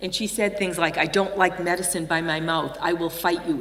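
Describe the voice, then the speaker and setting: In a Boston accent, a woman with a fairly low pitch and ordinary pitch variation speaks at a moderate pace amid audible room echo. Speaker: nurse and healthcare improvement leader. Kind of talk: conference keynote.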